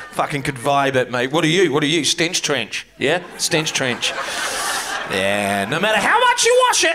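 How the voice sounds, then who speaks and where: A man talks at a moderate pace with a New Zealand accent. Noticeable background noise sits behind him. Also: fairly high pitch for a man. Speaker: comedian. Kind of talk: stand-up comedy. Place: stage. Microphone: handheld.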